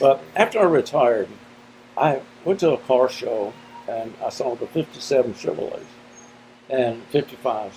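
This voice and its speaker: A man at a medium pitch with lively intonation and long, frequent pauses, over noticeable background noise. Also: moderate pace. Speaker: retired office manager. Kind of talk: interview answer.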